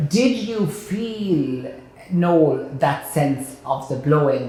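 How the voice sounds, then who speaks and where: Through audible room echo, a man with a fairly high voice speaks at a very slow pace with lively intonation. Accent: Kilkenny. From Ireland, Kilkenny. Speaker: broadcaster and chef, interview host. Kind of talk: interview. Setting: board room.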